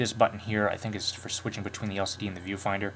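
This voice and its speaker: Fairly low in pitch, the man talks at a fairly quick pace. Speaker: camera reviewer. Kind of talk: product demo video. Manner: fast; hesitant, many fillers.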